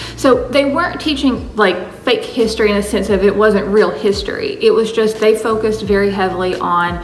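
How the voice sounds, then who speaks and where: A woman is speaking with noticeable background noise. The room echo is audible. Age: 30s. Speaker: vlogger. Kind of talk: casual chat. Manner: casual, filler-heavy.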